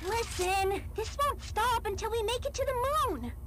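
Someone uses a put-on character voice at an extremely high pitch. The pace is moderate, and loud noise fills the background. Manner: upbeat, becoming obsessive.

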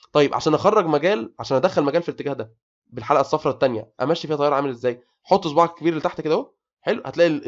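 A man with an Egyptian accent talks at a very fast pace in an animated tone. His pitch is fairly high, with ordinary variation. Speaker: engineering tutor. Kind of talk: lecture.

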